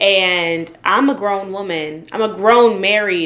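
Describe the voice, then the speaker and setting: A woman is speaking. Her pace is very slow. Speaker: lifestyle vlogger. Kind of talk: reaction video commentary. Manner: giggly; some stuttering.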